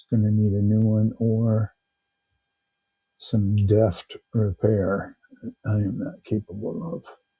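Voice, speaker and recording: A man speaks very slowly at a medium pitch, his dark, mellow tone somewhat breathy and his intonation fairly even, in a dry, close sound with no echo. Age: 60s. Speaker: live auction seller. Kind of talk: live selling stream.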